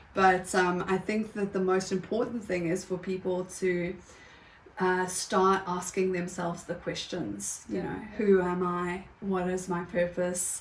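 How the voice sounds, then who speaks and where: A woman, medium-pitched and fairly slow, in a monotone, flat intonation, with noticeable background noise. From South Africa. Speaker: yoga teacher and writer. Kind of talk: interview answer.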